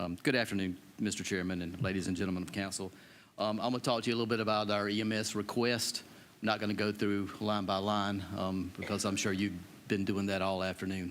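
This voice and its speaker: Speaking very fast in a monotone, flat delivery, a man with an American accent and a fairly low pitch is heard with audible room echo. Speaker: county EMS director. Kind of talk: budget presentation to council. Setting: county council meeting.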